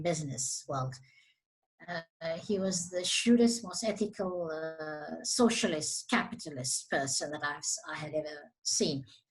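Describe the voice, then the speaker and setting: At a moderate pace, a woman talks with lively intonation in a plain, everyday voice. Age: 60s. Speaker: business association CEO. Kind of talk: interview.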